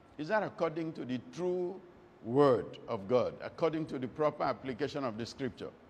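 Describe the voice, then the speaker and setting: Over light background noise, a man talks at a moderate pace. His intonation is lively. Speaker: preacher. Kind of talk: sermon.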